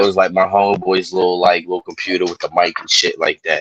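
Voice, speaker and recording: A man speaks at a very fast pace. His tone is bright and sharp, with lively intonation. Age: 30s. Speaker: rapper. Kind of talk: casual chat. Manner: halting.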